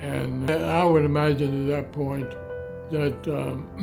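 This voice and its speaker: Music plays in the background as a man speaks. His pitch is medium and his pace very slow. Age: 80s+. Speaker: homeowner and storyteller. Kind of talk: interview answer. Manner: spirited.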